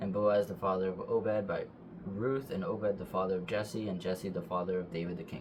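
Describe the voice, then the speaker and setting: Talking at a fairly quick pace, a man with a fairly low pitch shows ordinary pitch variation. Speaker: bible reader. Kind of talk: reading aloud. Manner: fast; halting.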